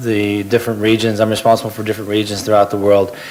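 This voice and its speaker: A speaker with an American accent is heard over noticeable background noise. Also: man. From United States. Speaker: marketing executive. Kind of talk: panel discussion. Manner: halting.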